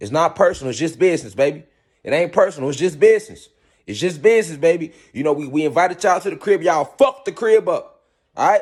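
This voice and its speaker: Speaking at a very fast pace, a man with a high pitch sounds animated, his intonation lively. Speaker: spiritual teacher. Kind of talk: lecture.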